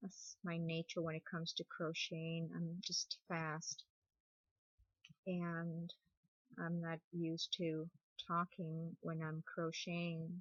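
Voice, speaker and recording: Mumbling, a woman speaks very slowly with long, frequent pauses. Her fairly low voice stays monotone and flat. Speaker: crochet tutorial creator. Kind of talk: tutorial. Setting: sitting on bed at home.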